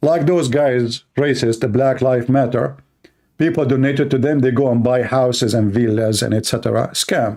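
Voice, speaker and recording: A man talks at a moderate pace with an Arabic accent. His voice is medium in pitch, dark and mellow, with very even loudness. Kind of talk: opinion commentary monologue. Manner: animated.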